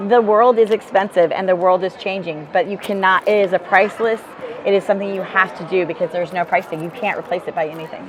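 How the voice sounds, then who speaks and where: At a very fast pace, a woman speaks in an energetic tone amid noticeable background noise. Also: medium pitch for a woman. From rural Alaska. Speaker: business field leader. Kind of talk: interview. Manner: loud, energetic.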